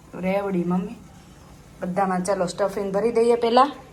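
With an animated tone, a woman speaks at a medium pitch over noticeable background noise. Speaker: family vlogger. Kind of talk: cooking tutorial; casual family vlog.

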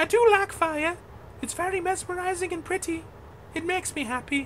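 Over clear background noise, a female-sounding put-on character voice speaks fairly quickly at an extremely high pitch. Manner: hyper, silly, rambling.

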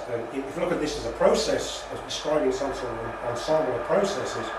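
A man's voice comes through with audible echo from the room and a little background noise. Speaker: lecturer. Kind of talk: lecture. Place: meeting room. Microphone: camera far.

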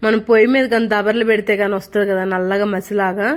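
A woman speaks in a fairly high pitch. Her intonation is monotone and flat. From Nellore district, Andhra Pradesh. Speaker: village vlogger, homemaker. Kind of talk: vlog voice-over. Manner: swallowing sounds between words.

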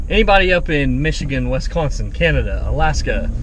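The man's voice sounds dry with no echo, though noticeable background noise comes through. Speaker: vlogger driving. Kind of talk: casual vlog chat. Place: car. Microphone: phone near.

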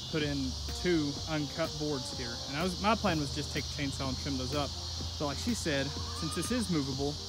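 A man at a fairly quick pace, dry sound with no echo, music in the background. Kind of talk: casual DIY vlog narration. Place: garden. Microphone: phone near.

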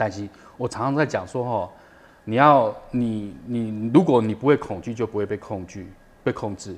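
Using an ordinary speaking voice, a man talks at a moderate pace with a fairly low pitch and ordinary pitch variation. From Taiwan. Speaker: documentary director, former TV cameraman; guest. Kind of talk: interview. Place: studio.

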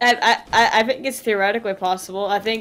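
A woman talks in a medium pitch with fairly even intonation. Hers is a plain, everyday voice. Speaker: gaming streamer. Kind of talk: casual chat.

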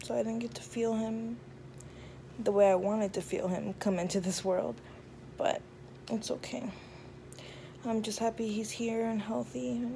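A woman speaks at a moderate pace with very wide pitch swings and long, frequent pauses over light background noise. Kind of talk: casual vlog chat. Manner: drowsy, weak post-surgery voice. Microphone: phone near.

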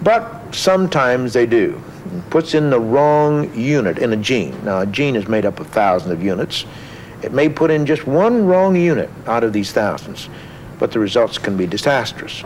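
A man's medium-pitched voice with very wide pitch swings, a moderate pace and light background noise. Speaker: scientist guest. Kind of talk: interview explanation of science. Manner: halting, with many filler words. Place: studio.

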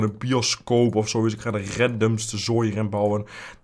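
This man's intonation is fairly even. His pitch is medium. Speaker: gaming youtuber. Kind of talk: let's play commentary. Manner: casual, rambling with fillers.

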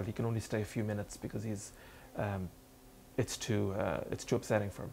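Over light background noise, a man with an Irish accent speaks at a fairly quick pace in a fairly low pitch, his tone dark and mellow and his intonation fairly even. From Ireland. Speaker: novelist. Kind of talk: author talk and reading. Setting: bookstore event with audience. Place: shop. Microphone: studio mic.

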